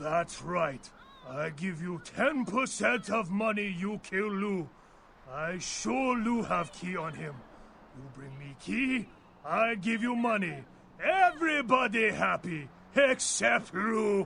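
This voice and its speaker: A put-on, gruff character voice, raised and projected, with very wide pitch swings and a fairly slow pace over clear background noise. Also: man, high pitch for a man. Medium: video game. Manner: clipped, drops articles, gruff.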